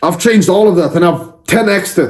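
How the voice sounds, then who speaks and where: A shouting man at a high pitch, intense in tone, at a moderate pace. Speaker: self-improvement content creator. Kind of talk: motivational speech. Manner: yelling; intense, confrontational.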